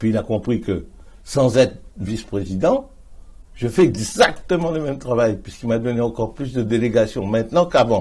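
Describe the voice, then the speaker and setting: A man of medium pitch talks at a moderate pace with ordinary pitch variation. His tone is dark, mellow and somewhat breathy. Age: 70s. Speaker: politician. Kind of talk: interview.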